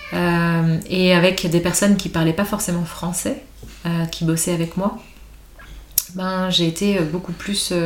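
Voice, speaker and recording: Very slow, fairly even speech with long, frequent pauses over noticeable background noise. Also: woman, fairly low pitch for a woman. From Paris, France. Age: 40s. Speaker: entrepreneur. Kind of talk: casual chat.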